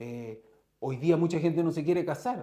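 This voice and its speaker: Speaking at a moderate pace, a man has a Chilean accent. His fairly high voice makes very wide pitch swings. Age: 50s. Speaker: entrepreneur, company founder. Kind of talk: interview conversation.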